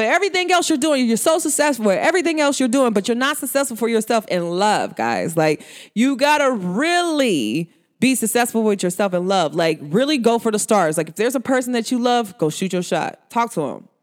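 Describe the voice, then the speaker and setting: Captured on a very clean recording with a silent background, the speaker has an animated tone and a fairly quick pace. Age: 30s. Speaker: podcast host, spiritual advisor. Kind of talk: casual monologue.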